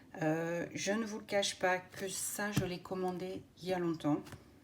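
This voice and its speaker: Background noise comes through noticeably. The speaking pace is fairly slow. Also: woman. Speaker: craft YouTuber. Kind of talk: unboxing video. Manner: hesitant, many filler words.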